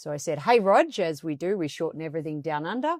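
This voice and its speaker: A woman speaks with an Australian accent at a fairly low pitch. The recording is very clean with a silent background, and the sound is dry and close with no echo. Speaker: coaching expert and author. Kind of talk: podcast interview. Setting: studio, on video.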